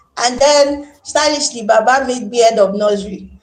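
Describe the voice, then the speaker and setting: Loud and animated, a woman talks with a Nigerian accent at a high pitch. Her pace is moderate and her pitch variation ordinary. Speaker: teacher. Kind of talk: interview.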